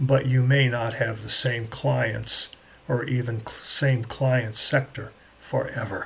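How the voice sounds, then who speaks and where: A man's fairly slow speech with vocal fry and fairly even intonation. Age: 70s. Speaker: management consultant. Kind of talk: talking-head explainer.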